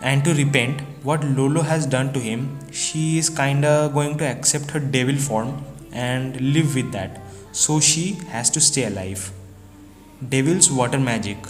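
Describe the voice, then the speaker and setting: The pace is fairly slow. Background music can be heard. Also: man. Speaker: anime manga reviewer. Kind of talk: casual talk to camera. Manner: droopy, flat.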